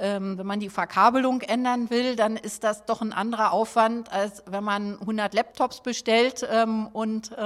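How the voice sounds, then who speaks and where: Speaking very slowly, a woman keeps her fairly high pitch on a fairly even line. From Berlin (Schöneberg). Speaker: district mayor. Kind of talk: interview.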